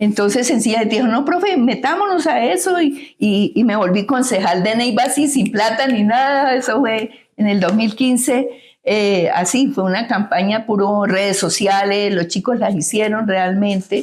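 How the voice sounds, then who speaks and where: The voice is somewhat breathy, with lively intonation at a moderate pace. Its loudness stays very even. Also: woman, fairly high pitch for a woman. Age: 70s. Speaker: congresswoman and former teacher. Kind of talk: interview.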